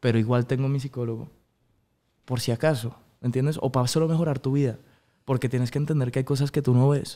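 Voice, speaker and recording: The voice has a dark, mellow tone and a monotone, flat intonation, racing along at a very fast pace yet broken by long, frequent pauses. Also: man. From Colombia (Bogotá), early childhood in Miami; Colombia. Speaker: singer; guest. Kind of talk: interview. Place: studio. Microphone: studio mic.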